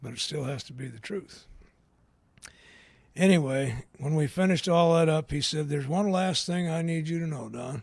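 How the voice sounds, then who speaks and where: A man's fairly high voice at a moderate pace, with ordinary pitch variation and long, frequent pauses. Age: 60s. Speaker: AA speaker. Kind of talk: recovery talk.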